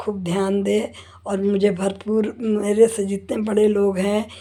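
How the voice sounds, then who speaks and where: A woman speaks at a medium pitch with a dark, mellow tone. Her intonation is flat and monotone. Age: 70s. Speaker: homemaker vlogger. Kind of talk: personal monologue. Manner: conversational with fillers.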